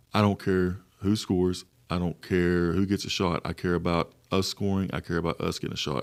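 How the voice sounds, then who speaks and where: This man has a very deep, low pitch and fairly even intonation, and he talks at a fairly quick pace. The recording is very clean, with a silent background. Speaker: women's basketball head coach. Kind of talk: podcast interview.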